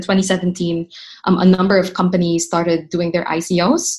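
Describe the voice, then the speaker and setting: A woman speaks at medium pitch and a moderate pace. Her voice is somewhat breathy, with a monotone, flat intonation. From Philippines (Manila). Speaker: startup founder. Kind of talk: interview.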